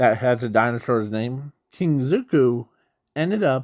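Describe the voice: The speaker is reading aloud plainly. Behind the voice, the background is quiet.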